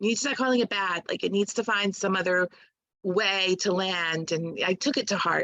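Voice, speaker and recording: Her tone is bright and sharp, at a medium pitch. The woman speaks at a moderate pace. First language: Spanish. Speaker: poet, doula and sex educator. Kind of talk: casual interview conversation.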